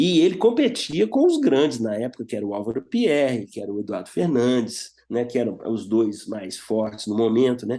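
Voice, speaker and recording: The voice has a dark, mellow tone and hardly any pauses. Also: man, medium pitch for a man, ordinary pitch variation, moderate pace. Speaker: guitarist and guitar teacher. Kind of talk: interview.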